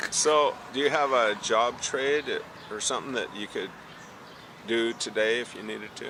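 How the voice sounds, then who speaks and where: Against noticeable background noise, a man talks at a moderate pace with fairly even intonation, big swings in loudness, and long, frequent pauses. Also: medium pitch for a man. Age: 70s. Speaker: documentary interviewer. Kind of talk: interview.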